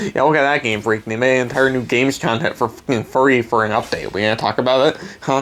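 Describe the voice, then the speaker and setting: Very fast speech with hardly any pauses plays over noticeable background noise. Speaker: gaming YouTuber. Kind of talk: rant. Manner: animated.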